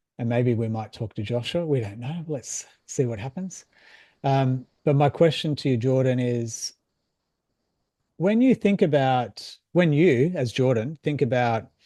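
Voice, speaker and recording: In a dark, mellow tone, a man talks at a fairly slow pace with a medium pitch. His pitch varies in an ordinary way, and the background is quiet. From Australia. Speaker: mindset coach. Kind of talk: casual chat. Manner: halting.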